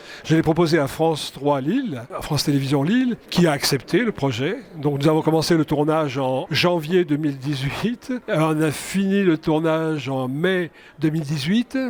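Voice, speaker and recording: Over noticeable background noise, a man talks at a moderate pace in a fairly high voice with ordinary pitch variation. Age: 70s. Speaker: film director. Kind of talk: interview. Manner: hesitant, repeats words.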